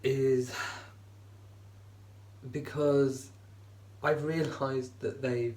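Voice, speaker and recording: Against noticeable background noise, a man speaks in a medium pitch. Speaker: vlogger. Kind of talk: casual talk to camera.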